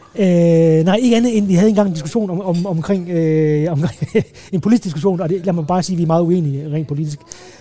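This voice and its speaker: The voice moves at a very fast pace with ordinary pitch variation against noticeable background noise. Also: man, high pitch for a man. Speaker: advertising creative. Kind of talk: casual chat. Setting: restaurant. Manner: halting, many repetitions.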